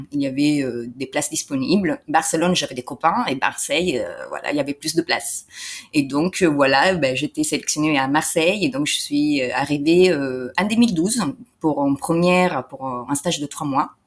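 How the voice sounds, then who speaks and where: Her pitch very deep and low, a woman speaks at a moderate pace with ordinary pitch variation. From Italy. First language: Italian (speaking French). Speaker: entrepreneur and translator. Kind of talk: interview. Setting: in person interview. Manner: hesitant, many fillers.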